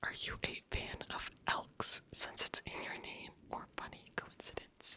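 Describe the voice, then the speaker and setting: Whispering, a woman speaks. Her pace is very slow. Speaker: ASMR creator. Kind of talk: casual talk to camera, Q&A.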